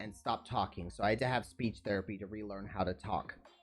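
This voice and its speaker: Music sits in the background. The speech moves at a fairly quick pace. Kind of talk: casual live stream chat. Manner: clear enunciation.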